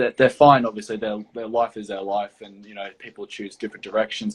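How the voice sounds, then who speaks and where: A man speaks with an Australian accent and a fairly low pitch. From Australia, Gold Coast, Queensland. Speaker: property development professional. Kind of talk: interview. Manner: halting, many fillers.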